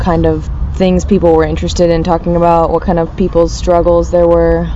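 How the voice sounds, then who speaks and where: A woman with an American accent is heard with noticeable background noise and audible room echo. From US South, Richmond, Virginia. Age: 20s. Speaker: activist. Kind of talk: interview.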